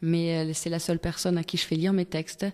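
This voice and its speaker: A woman's dark, mellow tone at a fairly low pitch, in a very clean recording with a silent background. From Togo. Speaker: singer-songwriter. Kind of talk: radio interview. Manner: hesitant, many fillers.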